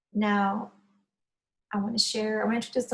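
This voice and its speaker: The speaker has a Spanish accent and a somewhat breathy voice. The pace is fairly quick. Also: woman. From Cuba. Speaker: Spanish teacher. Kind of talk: online lesson.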